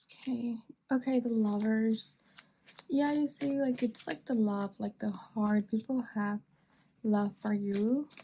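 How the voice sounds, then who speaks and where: A woman's fairly high voice has a dark, mellow tone, somewhat breathy, at a fairly slow pace. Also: ordinary pitch variation. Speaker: tarot reader. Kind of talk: tarot reading monologue.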